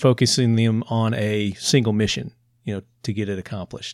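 A man with a Southern US accent at a moderate pace, in a very clean recording with a silent background and a dry, close sound with no echo. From Tennessee, US South. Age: 50s. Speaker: podcast host. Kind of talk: casual interview chat.

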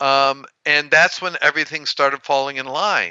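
A man speaks in a normal speaking voice at a fairly high pitch. His pace is fairly slow. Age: 60s. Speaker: heart attack survivor. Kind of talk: interview.

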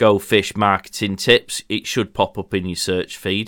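On a very clean recording with a silent background, a man with a normal speaking voice and fairly low pitch speaks at a moderate pace. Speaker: podcast co-host, marketing business owner. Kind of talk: casual chat. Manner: jokey, talkative.

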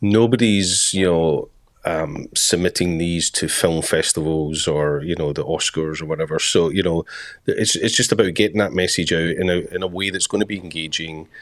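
A man's very deep, low voice in a Scottish accent, with ordinary pitch variation and a moderate pace. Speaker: podcast co-host. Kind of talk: casual chat.

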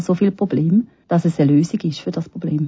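This woman's voice is fairly low and somewhat breathy. She talks at a fairly quick pace. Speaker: palliative care physician. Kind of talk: interview.

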